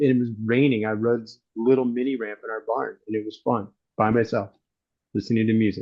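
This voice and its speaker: With an American accent, a man talks at a fairly quick pace in an ordinary speaking voice, his medium pitch and fairly even intonation paired with big swings in loudness. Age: 60s. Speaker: BMX photographer and writer. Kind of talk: casual chat.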